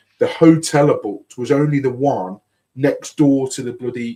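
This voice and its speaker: In a Birmingham accent, a man talks at a moderate pace with a dark, mellow tone. His pitch is medium, with ordinary pitch variation. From Birmingham, England. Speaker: podcast host. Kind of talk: casual chat.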